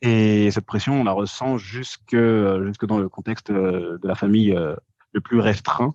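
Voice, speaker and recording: Talking at a fairly slow pace, a man with a fairly low pitch keeps his intonation fairly even, in a dry, close recording with no echo and a quiet background. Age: 20s. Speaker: podcast guest, social media commentator. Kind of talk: casual interview. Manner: hesitant, many fillers.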